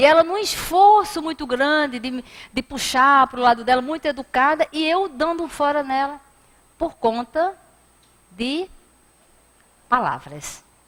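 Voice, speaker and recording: With a northeastern Brazilian accent, a woman talks at a fairly slow pace with lively intonation. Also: long, frequent pauses. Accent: northeastern Brazilian, noticeable. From Brazilian Northeast. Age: 50s. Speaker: spiritist lecturer. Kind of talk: lecture. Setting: spiritist center hall. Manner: animated storytelling.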